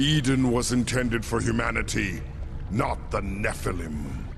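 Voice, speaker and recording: Over loud background noise, a man uses a put-on character voice at medium pitch and a moderate pace. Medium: video game. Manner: commanding, cold.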